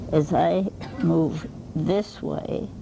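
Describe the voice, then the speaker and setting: Noticeable background noise sits behind a woman whose voice is very deep and low. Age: 80s+. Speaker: Alexander Technique teacher. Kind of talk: hands-on lesson. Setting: workshop.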